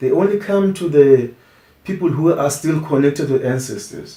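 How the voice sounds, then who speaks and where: Speaking at a moderate pace, a man has a dark, mellow tone that is somewhat breathy. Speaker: traditional healer and musician. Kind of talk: interview. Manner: halting, with frequent restarts.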